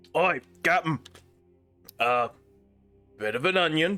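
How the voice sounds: With faint music in the background, a man does a put-on character voice at a fairly high pitch and a moderate pace.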